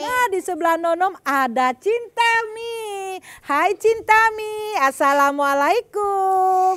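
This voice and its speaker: A woman with an extremely high pitch and lively intonation, very slow in pace, against a quiet background. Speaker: children's TV host. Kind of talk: lively talk to children. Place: studio.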